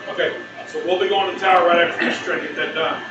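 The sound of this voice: Fast speech with fairly even intonation carries an audible room echo. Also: man, high pitch for a man.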